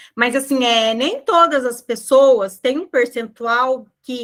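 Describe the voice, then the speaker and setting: A woman speaks at a high pitch. Her pace is very slow. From southern Brazil (Rio Grande do Sul). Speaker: nutritionist. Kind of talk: online group talk.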